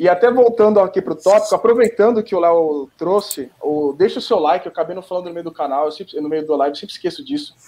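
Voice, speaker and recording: Ordinary pitch variation and a very fast pace in a man's high voice. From Brazil. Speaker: podcast host. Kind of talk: casual chat.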